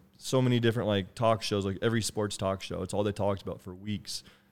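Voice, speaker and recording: An unremarkable speaking voice comes through with fairly even intonation. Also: man. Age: 20s. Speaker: podcast host. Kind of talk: casual chat.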